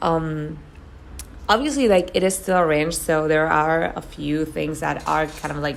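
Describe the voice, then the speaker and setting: Heard with audible room echo, a woman with a very deep, low pitch speaks in a Spanish accent. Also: fairly slow pace. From Argentina. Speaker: gaming YouTuber. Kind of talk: voiceover commentary. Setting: voiceover recording at home. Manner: casual, many fillers and repetitions.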